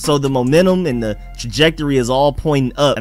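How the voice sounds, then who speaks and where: Faint music sits in the background as a man talks at a fairly quick pace, in a dry sound with no echo. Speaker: sports podcaster. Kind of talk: sports commentary. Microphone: studio mic.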